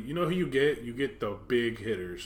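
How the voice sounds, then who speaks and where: At a moderate pace, a man talks at medium pitch in an unremarkable speaking voice. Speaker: podcast host. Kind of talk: casual chat.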